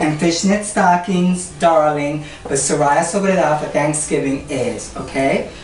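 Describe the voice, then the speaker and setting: The woman's voice sits at a fairly low pitch with fairly even intonation and a moderate pace. Noticeable background noise can be heard. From Puerto Rico, raised in New York. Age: 60s. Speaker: cooking show host. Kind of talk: cooking demonstration to camera. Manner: flamboyant, sassy.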